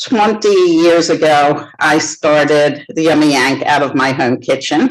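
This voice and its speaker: A woman speaks at a very slow pace and a very deep, low pitch. Her intonation is fairly even, and background noise is noticeable. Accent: American. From United States. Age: 60s. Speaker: baker and business founder. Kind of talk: interview.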